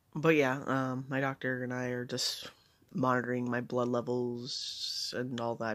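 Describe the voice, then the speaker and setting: With a medium pitch, a man speaks at a fairly slow pace in monotone, flat intonation. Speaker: vlogger. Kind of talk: personal update vlog. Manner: hesitant, many fillers.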